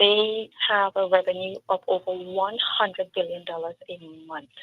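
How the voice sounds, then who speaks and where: A woman speaks with a Trinidadian accent at medium pitch and a moderate pace. Her intonation is fairly even, and her loudness swings widely. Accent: Trinidadian accent, noticeable throughout. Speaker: local political candidate. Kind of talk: interview on a community talk show. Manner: emphatic.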